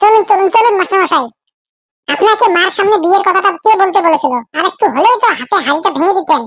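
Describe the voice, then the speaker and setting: A squeaky, cartoonish character voice from a woman at an extremely high pitch, fairly quick in pace and very even in loudness. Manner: insistent, dramatic.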